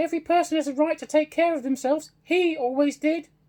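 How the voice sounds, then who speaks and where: Using a squeaky, put-on character voice, a man talks at a very fast pace with an extremely high pitch. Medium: read story. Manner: bold, defiant.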